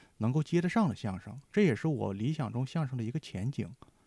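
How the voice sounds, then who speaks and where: A fairly high-pitched man with a dark, mellow tone, somewhat breathy, talks at a fairly quick pace with lively intonation in a very clean recording against a silent background. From Heilongjiang, northeast China. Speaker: writer. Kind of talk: casual chat.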